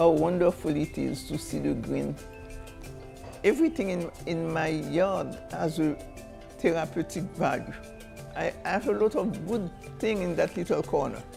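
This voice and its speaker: Music plays in the background. The speaker, with a Haitian accent, moves at a moderate pace and leaves long, frequent pauses. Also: woman. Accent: Haitian Creole. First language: Haitian Creole. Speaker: storyteller. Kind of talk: interview answer.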